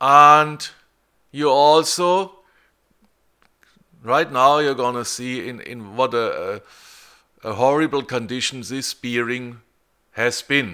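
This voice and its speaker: This man speaks at a very slow pace with a German accent, a medium pitch, ordinary pitch variation, big swings in loudness, a bright, sharp tone and long, frequent pauses. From Germany. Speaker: car repair tutorial maker. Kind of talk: tutorial. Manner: halting, many repeated words.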